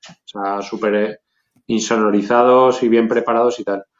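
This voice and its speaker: A man's unremarkable speaking voice at a medium pitch. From Zaragoza, Spain. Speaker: hip hop producer. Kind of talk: casual interview.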